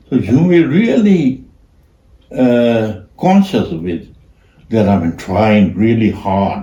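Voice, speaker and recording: A man's very slow speech with a Burmese accent, in a dark, mellow, somewhat breathy tone. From Myanmar. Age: old. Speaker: artist. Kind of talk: casual chat. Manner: halting.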